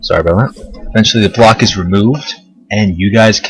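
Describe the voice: Simple, plain reading out loud.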